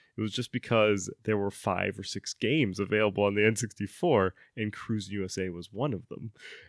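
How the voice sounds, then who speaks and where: A man with a plain, everyday voice talks at a fairly quick pace in a fairly low pitch, with hardly any pauses and ordinary pitch variation. The sound is dry and close with no echo, on a very clean recording with a silent background. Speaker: podcast host. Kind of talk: casual banter, podcast chat.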